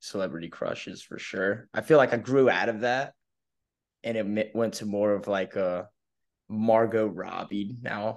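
An American-accented man talks at a moderate pace with a fairly low pitch. His is an unremarkable speaking voice, set against a quiet background. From coastal North Carolina, US. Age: 20s. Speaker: college baseball player. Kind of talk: interview.

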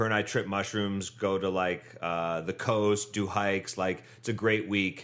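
A man with a Midwestern American accent speaks at a fairly slow pace in a fairly low, monotone voice with flat intonation and hardly any pauses, on a very clean recording with a silent background. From Northeast Ohio. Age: 30s. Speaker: bicycle courier and bike tourer. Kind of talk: casual chat.

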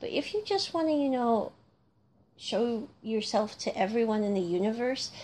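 A woman with an American accent, high-pitched with a dark, mellow tone, lively intonation and a moderate pace. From North America (US or Canada). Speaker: podcast host, music reviewer. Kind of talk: solo casual commentary.

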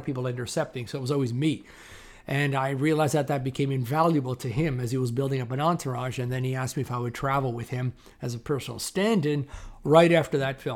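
Here a man talks at a very fast pace in a Canadian accent. His pitch is medium and his intonation fairly even. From Toronto, Canada. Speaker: film stand-in and actor. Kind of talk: interview. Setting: video call. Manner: loud.

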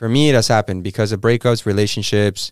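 A man with a Spanish accent and a fairly low pitch, in a very clean recording with a silent background and a dry, close sound with no echo. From Mexico. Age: 20s. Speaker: actor. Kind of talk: casual chat. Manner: animated.

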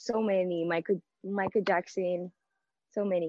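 This woman speaks at a medium pitch in a monotone, flat delivery. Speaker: singer. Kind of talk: casual interview. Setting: remote interview from a studio room. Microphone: connection dropped briefly.

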